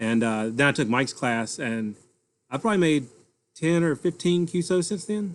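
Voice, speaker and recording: In a Southern US accent, a man with a fairly high pitch talks at a moderate pace with lively intonation. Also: quiet background. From North Carolina. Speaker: amateur radio operator. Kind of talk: casual chat.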